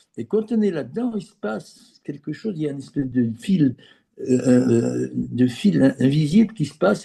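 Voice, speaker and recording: A dark, mellow, somewhat breathy voice at a fairly slow pace with lively intonation. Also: man. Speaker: former business executive turned geobiologist. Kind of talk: interview. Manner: halting, many repeated words.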